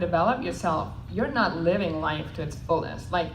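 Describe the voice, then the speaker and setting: A woman with a non-native accent at a moderate pace, amid noticeable background noise and audible room echo. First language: not English. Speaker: network marketing panelist. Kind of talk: panel talk.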